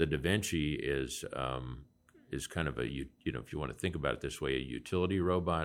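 A fairly quick Midwestern US accent, with vocal fry and ordinary pitch variation. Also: man, very deep, low pitch for a man. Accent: US Midwest. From Nebraska. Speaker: physician and healthcare investor. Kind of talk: interview conversation.

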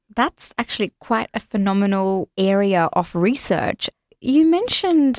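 A woman speaks very slowly. Her pitch sits in the medium range. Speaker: podcast host. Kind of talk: interview.

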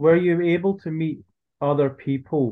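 A man with an unremarkable speaking voice talks at a moderate pace. His pitch variation is ordinary. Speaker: podcast host. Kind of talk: casual interview chat.

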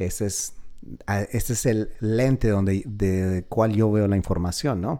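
In a very clean recording with a silent background, a man with a fairly low, dark, mellow voice speaks at a very slow pace, with ordinary pitch variation and long, frequent pauses. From Colombia. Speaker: podcast host, real estate and finance. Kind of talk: podcast monologue. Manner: halting, with repeated words.

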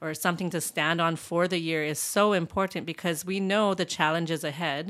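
On a very clean recording with a silent background, a woman with a fairly low pitch talks in a normal speaking voice. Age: 40s. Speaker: church small group ministry host. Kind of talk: casual chat.

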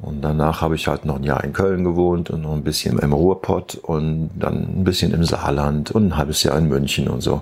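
A man with a very deep, low pitch speaks at a moderate pace with hardly any pauses. His intonation is fairly even, and noticeable background noise runs underneath. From Germany, Eifel region (near Neuerburg). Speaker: rock musician. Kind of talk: interview.

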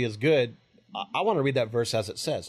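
The man talks at a medium pitch, and the background is quiet. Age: 40s. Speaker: pastor. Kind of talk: teaching discussion about the Bible. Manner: halting, many fillers.

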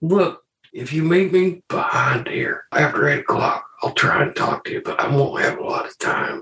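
A man puts on a character voice pitched high. He speaks at a moderate pace. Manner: gruff, weary, world-worn.

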